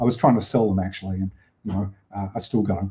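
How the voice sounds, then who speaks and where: The speaker sounds somewhat breathy and has an Australian accent. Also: man. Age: 60s. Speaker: film exhibitor and collector. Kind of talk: lecture. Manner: halting.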